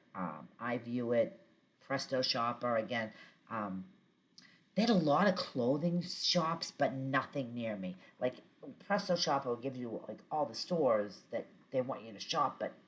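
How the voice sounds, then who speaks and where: With a Boston accent, the speaker goes at a fairly slow pace, with very wide pitch swings and big swings in loudness. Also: woman. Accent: thick Boston. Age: 50s. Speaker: vlogger. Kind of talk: casual chat. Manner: many filler words (um).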